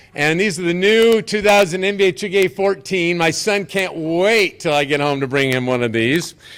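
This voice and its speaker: A loud, high-pitched male voice with lively intonation at a moderate pace. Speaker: basketball tournament organizer. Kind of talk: press conference speech. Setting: hotel event with audience, live streamed. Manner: animated.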